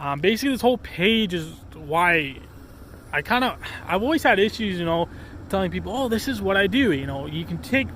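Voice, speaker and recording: Over noticeable background noise, a man speaks at a fairly quick pace. His high pitch moves in very wide swings. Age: 20s. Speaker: outdoor vlogger. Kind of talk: casual vlog. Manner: rambling with many fillers.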